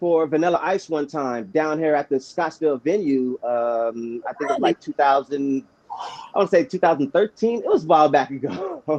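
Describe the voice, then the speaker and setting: A man with an American accent uses a normal speaking voice, fairly high in pitch with lively intonation, at a moderate pace in a dry, close sound with no echo. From Arizona (Chandler). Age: 40s. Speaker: youth football coach and grower. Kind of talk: casual chat. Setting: livestream.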